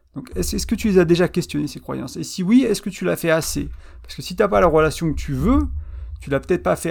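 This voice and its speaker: A man talks at a very fast pace. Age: 30s. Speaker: relationship podcast host and blogger. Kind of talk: solo podcast monologue. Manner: hesitant, many fillers and repetitions.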